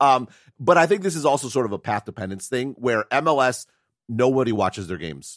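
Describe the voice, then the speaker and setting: A man talks at a very fast pace with lively intonation, in a dry, close sound with no echo. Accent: American. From US Midwest, Wisconsin. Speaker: tech analyst and podcast co-host. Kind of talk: casual chat. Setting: remote call.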